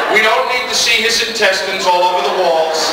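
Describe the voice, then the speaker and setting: Over loud background noise and audible room echo, the speech moves at a moderate pace. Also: man. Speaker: convention guest actor. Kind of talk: Q&A anecdote storytelling. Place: hall.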